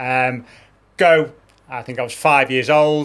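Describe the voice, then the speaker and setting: A man with a Liverpool accent, fairly high-pitched, at a moderate pace, on a very clean recording with a silent background. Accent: Scouse. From Liverpool, England. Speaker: demolition company owner. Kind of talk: casual chat.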